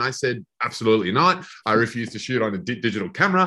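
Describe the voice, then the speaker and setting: Over a quiet background, a man in an Australian accent talks at a fairly quick pace with lively intonation and a bright, sharp tone. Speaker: film director. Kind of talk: interview. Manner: halting.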